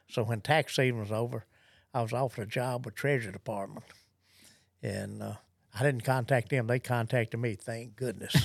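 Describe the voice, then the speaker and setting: Speaking at a fairly quick pace but with long, frequent pauses, a man with a Southern US accent uses a medium pitch and fairly even intonation. The recording is very clean, with a silent background. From US South. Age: 70s. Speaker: gun dog trainer. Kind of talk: interview.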